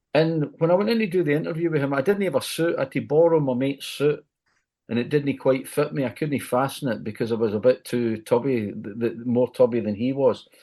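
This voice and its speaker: Over a quiet background, a man with a Glaswegian accent talks at a fairly quick pace in a fairly high voice with a dark, mellow tone and lively intonation. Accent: Glaswegian Scottish. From Scotland, Glasgow. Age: 70s. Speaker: music journalist and radio DJ. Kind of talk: podcast interview. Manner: repetitive, self-correcting.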